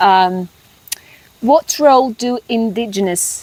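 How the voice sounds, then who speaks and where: Noticeable background noise sits behind a woman's voice. The sound is dry and close with no echo, and her pitch varies in an ordinary way. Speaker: migration coach. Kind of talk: interview questions.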